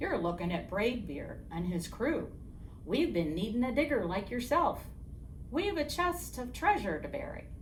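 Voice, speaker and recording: A woman puts on a character voice with a fairly high pitch. She speaks at a moderate pace over clear background noise. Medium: read story. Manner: loud, bellowing pirate talk.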